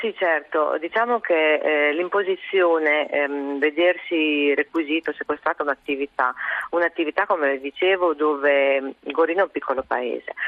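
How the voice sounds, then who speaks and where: With a very deep, low pitch for a woman, she speaks at a moderate pace with ordinary pitch variation. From Goro, Ferrara province, northern Italy. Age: 50s. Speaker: deputy mayor of a small town. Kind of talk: phone interview on radio call-in show. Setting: phone call.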